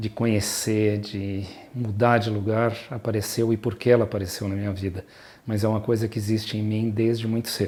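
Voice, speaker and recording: A man speaks at a moderate pace in a fairly low pitch with a dark, mellow tone. His intonation is monotone and flat. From southern Brazil (Rio Grande do Sul, Porto Alegre) then São Paulo. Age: 60s. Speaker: pediatrician and mountain guide. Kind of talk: personal life story interview. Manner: hesitant, with many fillers and repetitions.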